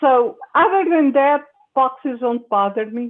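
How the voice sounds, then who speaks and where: A woman with a high pitch talks at a fairly slow pace, her intonation lively. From Portugal. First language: Portuguese. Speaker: science fiction writer. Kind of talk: panel discussion. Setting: video call.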